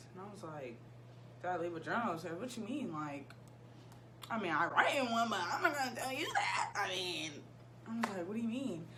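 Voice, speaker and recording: Over noticeable background noise, a woman with an American accent talks at a fairly quick pace and medium pitch, with very wide pitch swings and long, frequent pauses. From Ohio, USA. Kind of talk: casual storytime talk to camera. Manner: goofy, chatty.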